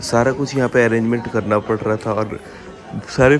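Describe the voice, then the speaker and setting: Music plays underneath as a man speaks at a moderate speed. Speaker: vlogger. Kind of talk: casual vlog narration.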